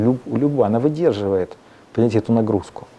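This man talks with ordinary pitch variation. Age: young. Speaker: composer; guest. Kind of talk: interview. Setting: studio. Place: studio. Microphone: lapel.

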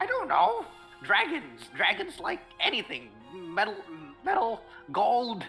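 A put-on character voice in a fairly high pitch, very slow with long, frequent pauses, over clear music in the background. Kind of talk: comic fantasy creature voice. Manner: panicky, simple-minded, broken speech.

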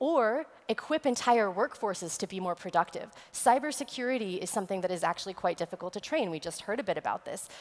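A woman with an American accent speaks very fast with lively intonation. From West Texas. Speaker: futurist and immersive technology consultant; conference speaker. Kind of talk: conference presentation. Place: stage. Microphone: headset.

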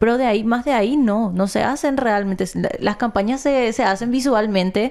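This woman has a dark, mellow tone. She talks at a moderate pace. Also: quiet background. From Paraguay. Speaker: news show co-host. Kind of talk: casual news chat. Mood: serious, concerned. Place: studio. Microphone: studio mic.

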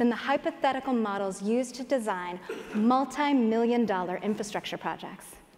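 Her pace fairly quick, a woman speaks with ordinary pitch variation. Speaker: conference speaker. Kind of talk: prepared stage talk. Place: stage. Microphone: headset.

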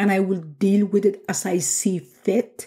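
The voice sounds natural. It is reading aloud.

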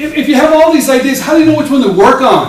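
Audible room echo and light background noise surround the voice. A man talks at a very fast pace. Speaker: speaker. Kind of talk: talk to an audience. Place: meeting room.

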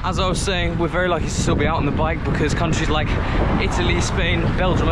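A man at a very fast pace, in a dry sound with no echo, over loud background noise. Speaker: amateur cycling vlogger. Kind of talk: casual vlog chat. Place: bicycle. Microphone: phone near.

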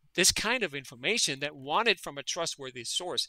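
A man's raised, projected voice, bright and sharp, at a fairly quick pace with very wide pitch swings. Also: dry, close sound with no echo. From Denmark. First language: Danish. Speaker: veterinary parasitologist. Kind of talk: interview conversation.

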